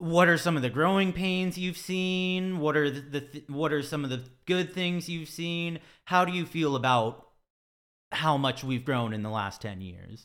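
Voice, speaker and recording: On a very clean recording with a silent background, a man with an American accent uses a normal speaking voice at a fairly high pitch, with lively intonation and a moderate pace. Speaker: podcast host. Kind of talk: casual interview.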